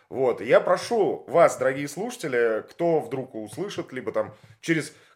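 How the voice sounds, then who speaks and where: A man talks at a moderate pace. His pitch is high. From Russia, Leningrad. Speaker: podcast host, former radio presenter. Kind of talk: interview. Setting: at the guest's home.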